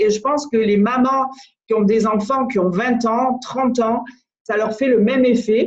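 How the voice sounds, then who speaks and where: A woman talks at a very slow pace, her voice fairly high in pitch with fairly even intonation. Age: 60s. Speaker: business coach. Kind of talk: motivational talk.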